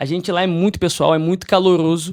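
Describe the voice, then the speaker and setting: At a moderate pace, a man with a Rio de Janeiro accent speaks at a high pitch in a very clean recording with a silent background. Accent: carioca. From Brazil, Rio de Janeiro. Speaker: investment advisory firm partner. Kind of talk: podcast interview.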